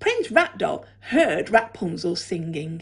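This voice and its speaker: A woman in an animated tone with very wide pitch swings, against a quiet background. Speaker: primary school teacher. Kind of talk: children's story reading aloud, bedtime-style storytelling. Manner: animated, expressive, changing tone for the cat and characters' dialogue; gentle, measured storyteller pacing. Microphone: phone near.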